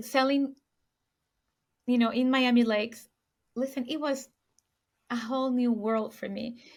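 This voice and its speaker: In a Puerto Rican accent, a woman speaks at a fairly high pitch with fairly even intonation. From Puerto Rico. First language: Spanish. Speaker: luxury real estate sales agent. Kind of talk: podcast interview.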